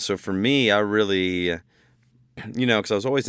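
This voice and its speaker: A man with an American accent on a very clean recording, the background silent. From Ohio, US Midwest (Bowling Green). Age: 30s. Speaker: country musician, songwriter. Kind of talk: casual interview.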